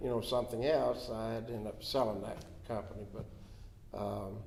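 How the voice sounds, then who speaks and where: Amid audible room echo, a man with a Florida accent speaks at a medium pitch and moderate pace with fairly even intonation. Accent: Southern US (Florida). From Florida (Dade City). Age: 70s. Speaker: county commissioner. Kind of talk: interview. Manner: halting, with many fillers.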